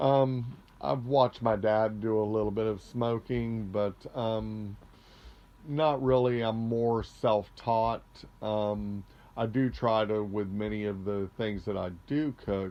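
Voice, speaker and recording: Very slow delivery from a man with an American accent, fairly low pitch and fairly even intonation. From Florida. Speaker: interviewee, home cook. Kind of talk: casual interview. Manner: halting, many fillers.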